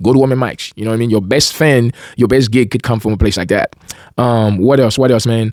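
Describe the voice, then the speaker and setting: A man with a Caribbean accent talks very fast at a medium pitch, his intonation fairly even. The sound is dry and close, with no echo. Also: very clean recording, silent background. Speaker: independent musician and video host. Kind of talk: casual monologue to camera. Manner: halting, many fillers and restarts.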